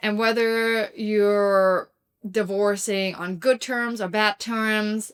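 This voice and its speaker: Very slow speech from a woman at medium pitch, with fairly even intonation and a very clean recording over a silent background. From Germany. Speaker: divorce recovery vlogger. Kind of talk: personal advice talk to camera.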